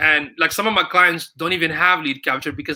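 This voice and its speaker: The man's voice has a bright, sharp tone with ordinary pitch variation. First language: not English. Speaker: digital marketing strategist. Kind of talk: casual chat. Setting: live stream.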